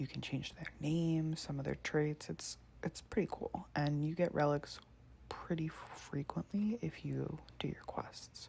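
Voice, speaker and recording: A soft-spoken woman at a fairly slow pace. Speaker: ASMR creator. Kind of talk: ASMR let's play, casual talk.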